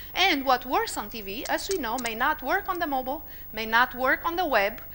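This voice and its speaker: Over noticeable background noise, a woman with a high pitch speaks in a raised, projected voice at a fairly quick pace with lively intonation. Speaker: marketing executive giving a conference talk. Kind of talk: conference presentation.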